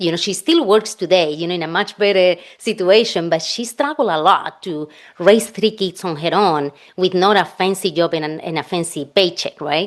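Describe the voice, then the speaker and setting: Keeping a moderate pace, a woman talks with ordinary pitch variation at a fairly low pitch. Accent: Spanish. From Spain. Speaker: financial planner. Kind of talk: podcast interview.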